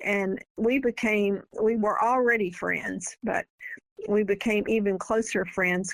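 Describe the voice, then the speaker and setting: Her medium-pitched voice moves at a fairly slow pace as this woman speaks with fairly even intonation. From US South. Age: 80s+. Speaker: author. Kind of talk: interview.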